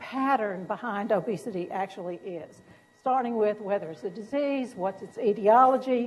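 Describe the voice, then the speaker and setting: A woman's fairly high voice with lively intonation and a Southern US accent. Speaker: physician and professor. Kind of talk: lecture.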